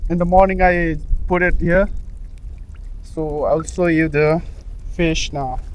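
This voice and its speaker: A man with a high pitch speaks fairly slowly in a monotone, flat way, leaving long, frequent pauses. Audible room echo and noticeable background noise are present. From Northeast India. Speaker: vlogger. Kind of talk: casual vlog narration. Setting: outdoors by a pond. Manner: halting.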